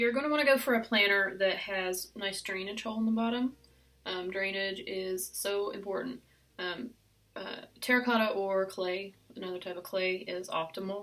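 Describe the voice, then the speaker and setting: With a West Virginian accent, a woman speaks in a bright, sharp tone at a medium pitch. Her pitch variation is ordinary and her pace moderate. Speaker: succulent gardener. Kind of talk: casual talk to camera.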